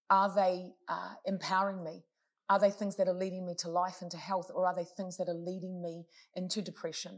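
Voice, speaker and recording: Woman with a New Zealand accent, medium pitch, monotone, flat intonation, a fairly quick pace and big swings in loudness. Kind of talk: casual interview.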